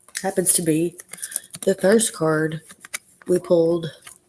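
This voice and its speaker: A woman's fairly low pitch with monotone, flat intonation. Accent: Arkansas. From Arkansas. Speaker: tarot reader. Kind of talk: live stream tarot reading. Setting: live stream.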